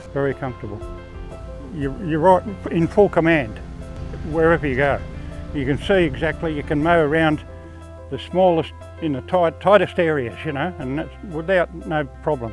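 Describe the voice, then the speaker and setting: Long, frequent pauses from a man with an Australian accent, music in the background. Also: moderate pace. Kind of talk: interview answer. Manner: casual, chatty.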